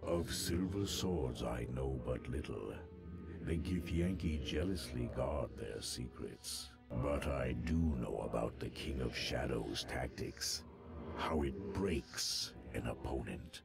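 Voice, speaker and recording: A man speaks in a put-on character voice at a fairly slow pace. Music is clearly audible in the background. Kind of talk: epic fantasy lore speech. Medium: video game. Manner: imperious, slow and solemn.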